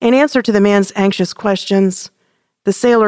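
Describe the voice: Over a quiet background, the text gets plain reading aloud, the intonation fairly even.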